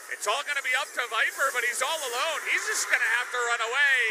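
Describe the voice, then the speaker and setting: A man speaks in a raised, projected voice at an extremely high pitch, with ordinary pitch variation and noticeable background noise. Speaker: esports caster. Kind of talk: live esports commentary. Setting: broadcast. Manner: fast, excited play-by-play; clipped, breathless reactions.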